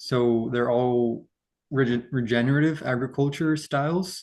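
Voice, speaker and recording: A man speaks at a very slow pace in a medium pitch. His pitch varies in an ordinary way. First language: Portuguese. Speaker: yerba mate producer. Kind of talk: interview. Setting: video call. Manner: halting.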